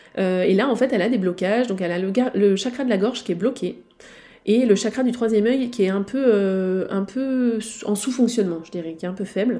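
Speaking fairly quickly, a woman has a medium pitch, a dark, mellow tone and ordinary pitch variation. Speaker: naturopath and spiritual healing therapist podcaster. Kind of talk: solo podcast monologue, case walkthrough. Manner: hesitant with frequent fillers.

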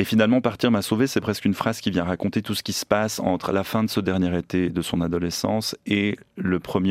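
Talking at a fairly quick pace, a man with a very deep, low pitch keeps his intonation fairly even, on a very clean recording with a silent background and a dry, close sound with no echo. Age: 30s. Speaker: novelist and magazine editor. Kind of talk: interview. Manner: halting.

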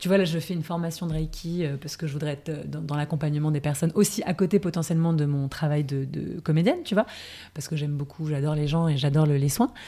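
A woman with a very deep, low pitch and a dark, mellow tone speaks at a very fast pace with fairly even intonation, in a very clean recording with a silent background. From France, Paris. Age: 30s. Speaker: actress, former corporate lawyer. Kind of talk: interview, personal testimony.

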